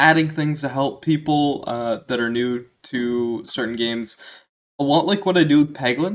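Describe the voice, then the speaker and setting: A man with a fairly high pitch talks in a Maritime Canadian accent. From Maritime provinces, East Coast Canada. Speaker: gaming YouTuber. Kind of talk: casual Q&A monologue. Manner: casual, with frequent fillers.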